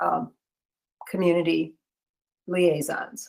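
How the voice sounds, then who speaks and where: The woman's pitch sits fairly low. She speaks at a very slow pace. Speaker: committee chair. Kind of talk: online meeting. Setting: video call.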